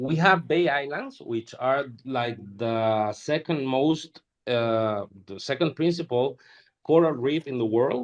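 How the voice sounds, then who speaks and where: At a very slow pace, a man speaks with a medium pitch and ordinary pitch variation. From Honduras. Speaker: NFT collector and artist. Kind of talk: interview. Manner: halting, many repeated words.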